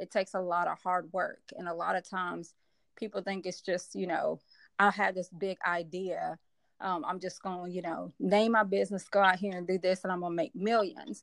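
Heard against a quiet background, a normal speaking voice moves at a moderate pace with fairly even intonation. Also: woman, medium pitch for a woman. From US South, Memphis, Tennessee. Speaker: business coach. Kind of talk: casual interview.

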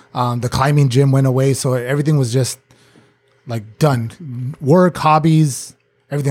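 The voice is somewhat breathy, with fairly even intonation. Its pace is moderate. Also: man. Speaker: recurring podcast guest, former bar staff. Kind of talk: casual chat. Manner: calm.

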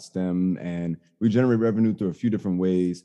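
Over a quiet background, a man with an American accent talks fairly quickly in a very deep, low voice with a dark, mellow tone. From Chicago South Side, US. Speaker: STEM educator and tech entrepreneur. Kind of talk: podcast interview. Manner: animated.

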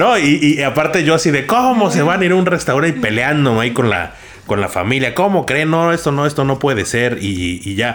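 Over noticeable background noise, a man with a fairly high pitch speaks at a moderate pace, his pitch swinging very widely and hardly pausing at all. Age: 30s. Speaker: podcast producer. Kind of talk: casual chat. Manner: halting.

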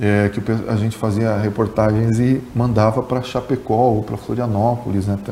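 Over noticeable background noise, a man of medium pitch talks at a moderate pace in a monotone, flat delivery. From Rio Grande do Sul, Brazil (grew up in Capinzal, Santa Catarina). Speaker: journalist and former radio sports narrator. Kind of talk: podcast interview.

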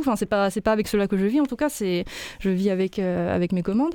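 Very fast speech from a woman at medium pitch, dark and mellow in tone, with ordinary pitch variation. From Lyon, France. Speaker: illustrator. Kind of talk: interview.

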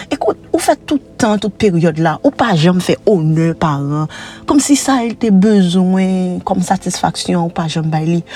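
A woman speaks with a Haitian accent at a medium pitch. Her pace is moderate, with music in the background. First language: Haitian Creole (speaking French). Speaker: preacher. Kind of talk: sermon.

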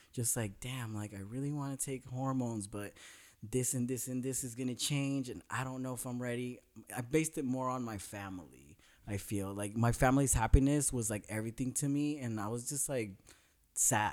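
In a plain, everyday voice, a man with an American accent talks at a fairly quick pace with medium pitch and fairly even intonation, on a very clean recording with a silent background. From Northern California. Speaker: special education teacher. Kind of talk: casual chat.

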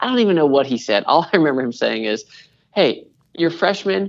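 The speaker has an American accent and talks at a very fast pace. The background is quiet. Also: man. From US Pacific Northwest (Washington State). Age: 30s. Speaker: creative pastor. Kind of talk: interview.

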